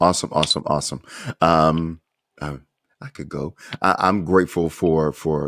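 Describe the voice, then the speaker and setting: A man's very deep, low voice with an American accent, fairly even intonation and a fairly slow pace, in a very clean, silent recording with a dry, close sound and no echo. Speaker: podcast host. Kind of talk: interview. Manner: halting.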